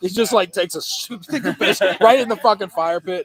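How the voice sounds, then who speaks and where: A man's high-pitched, animated voice at a very fast pace, with a dry, close sound and no echo. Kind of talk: casual chat. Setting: outdoors, camping by fire pit.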